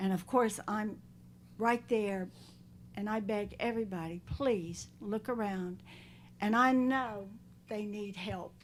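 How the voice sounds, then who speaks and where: A woman speaks at a fairly slow pace with a North Carolina accent, leaving long, frequent pauses. Her pitch is medium and her intonation fairly even. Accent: Southern US (North Carolina). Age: 70s. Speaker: animal shelter volunteer, public commenter. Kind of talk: public comment at county board meeting. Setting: county board meeting room. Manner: pleading, heartfelt.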